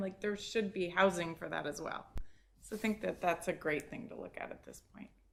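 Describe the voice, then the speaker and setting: Here is a woman with an ordinary speaking voice and a fairly low pitch. She talks at a fairly quick pace, keeping her intonation fairly even. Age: 60s. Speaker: planning commissioner. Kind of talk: public meeting discussion.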